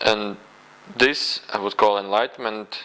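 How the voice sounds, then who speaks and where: Noticeable background noise sits behind the speech. A man talks at a moderate pace and a medium pitch. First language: not English. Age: 20s. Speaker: spiritual video blogger. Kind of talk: personal testimony monologue. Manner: halting, many fillers.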